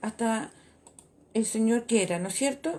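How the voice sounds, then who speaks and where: A woman with a dark, mellow tone, fairly high pitch and lively intonation. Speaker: church women's radio host. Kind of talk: sermon. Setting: church radio broadcast. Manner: stutter.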